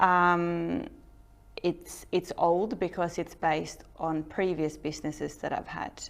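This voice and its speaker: Speaking at a very slow pace, a woman has a fairly low pitch and a Norwegian accent. Her intonation is fairly even, and the recording is very clean with a silent background. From Norway. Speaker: entrepreneur. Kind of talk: talk to an audience.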